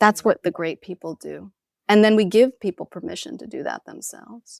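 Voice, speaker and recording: A woman with an American accent talks fairly quickly at a fairly high pitch, with vocal fry, very wide pitch swings and big swings in loudness. The recording is dry, close and very clean, with no echo and a silent background. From New York City. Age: 40s. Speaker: spiritual teacher. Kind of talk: interview.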